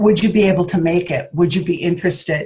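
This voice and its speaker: A woman's somewhat breathy voice carries ordinary pitch variation. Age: 60s. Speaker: network marketing team leader. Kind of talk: training talk to a group.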